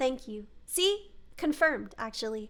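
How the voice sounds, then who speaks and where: A woman's raised, projected voice with a bright, sharp tone and very wide pitch swings. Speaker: streamer. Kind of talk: casual chat. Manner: halting, many restarts.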